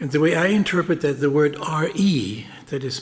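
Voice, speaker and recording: A man speaks at a fairly slow pace. He has a German accent. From Germany. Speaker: speaker at a memorial event. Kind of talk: speech at a memorial ceremony. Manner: formal.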